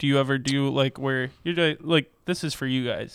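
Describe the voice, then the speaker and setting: At a moderate pace, a man speaks with a plain, everyday voice at a medium pitch with fairly even intonation. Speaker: podcast co-host. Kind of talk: casual chat. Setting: studio.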